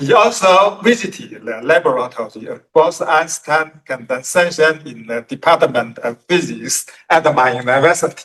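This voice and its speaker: A man's fairly high, bright, sharp voice with very wide pitch swings at a moderate pace. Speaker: philosophy professor. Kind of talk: conference talk read from slides. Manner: halting.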